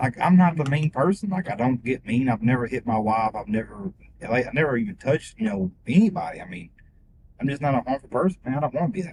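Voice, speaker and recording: Somewhat breathy and very fast, this voice with an American accent moves through very wide pitch swings. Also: man, medium pitch for a man. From Missouri. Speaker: rideshare passenger. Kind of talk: casual chat.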